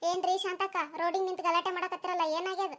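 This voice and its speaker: A cartoonish character voice delivers its lines at a moderate pace in a monotone, flat intonation. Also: woman, extremely high pitch for a woman. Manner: confiding, gossipy.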